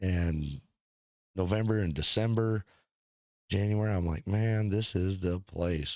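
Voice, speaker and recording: An ordinary speaking voice from a man with an American accent, fairly low in pitch, fairly even in intonation, at a moderate pace, in a very clean recording with a silent background. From northern US. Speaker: podcast host. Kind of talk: casual chat.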